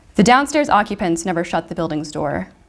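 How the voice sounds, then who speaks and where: A soft-spoken woman talks at a fairly quick pace and a medium pitch. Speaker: fiction writer. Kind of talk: reading aloud.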